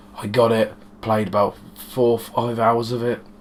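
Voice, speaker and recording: In a British accent, a man with a fairly low pitch speaks in a monotone, flat intonation against noticeable background noise. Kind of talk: casual talk to camera.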